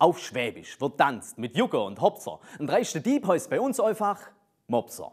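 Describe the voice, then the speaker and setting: A man with a Swabian accent and vocal fry talks at a fairly slow pace against a quiet background. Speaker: poetry slammer. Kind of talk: poetry slam performance. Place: studio. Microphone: lapel.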